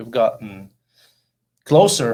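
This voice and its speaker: In a very clean recording, silent background, a man with a Norwegian accent speaks at a fairly slow pace. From Norway, rural Oppdal. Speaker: actor and model. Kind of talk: interview.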